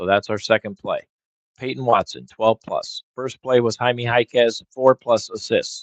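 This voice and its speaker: A man with an unremarkable speaking voice and medium pitch speaks at a fairly slow pace, in a dry, close sound with no echo. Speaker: sports betting streamer. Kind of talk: live stream commentary. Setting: live stream.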